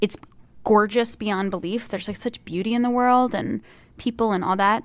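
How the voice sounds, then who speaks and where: A woman speaks in a plain, everyday voice, pitched fairly high, with ordinary pitch variation. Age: 30s. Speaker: comedian. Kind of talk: casual chat.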